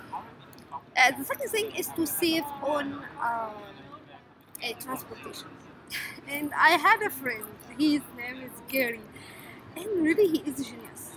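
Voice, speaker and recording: A woman's high-pitched voice with lively intonation and long, frequent pauses, in a dry sound with no echo and light background noise. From Egypt. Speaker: scientist vlogger. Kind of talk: casual vlog tutorial. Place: hall. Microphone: phone near.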